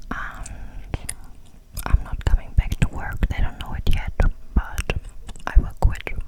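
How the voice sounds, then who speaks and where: Whispering very slowly, a woman is heard against noticeable background noise. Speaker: ASMR creator. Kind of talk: casual personal chat. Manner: whispered.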